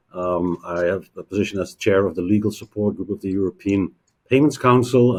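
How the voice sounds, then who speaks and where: Fairly quick and fairly low, a man speaks in a Dutch accent with a dark, mellow tone. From Netherlands. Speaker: payments industry executive. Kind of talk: interview. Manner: halting, many fillers.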